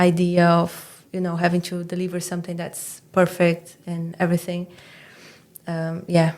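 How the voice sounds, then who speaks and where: In a Portuguese accent, a woman with a fairly low pitch speaks at a moderate pace. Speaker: doctoral student and writing mentor. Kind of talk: podcast interview. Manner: hesitant, with fillers and restarts.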